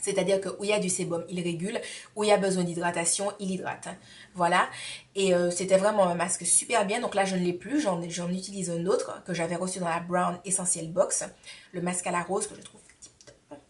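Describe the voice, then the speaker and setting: A woman talks in a flat monotone at medium pitch, her loudness swinging widely over noticeable background noise. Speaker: beauty vlogger. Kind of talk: tutorial.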